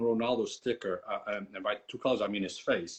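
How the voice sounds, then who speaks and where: At a fairly quick pace, a man speaks. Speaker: soccer card collector and channel host. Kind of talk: casual chat. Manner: halting, many fillers and repetitions.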